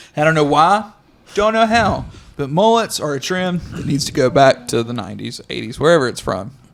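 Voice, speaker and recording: A loud man with a fairly high pitch talks at a fairly quick pace, his pitch swinging very widely. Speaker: podcast co-host, racing crew member. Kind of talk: casual chat.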